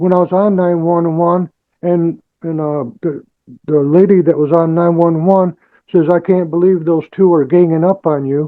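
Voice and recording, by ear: The pace is fairly slow. Intonation stays fairly even. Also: man.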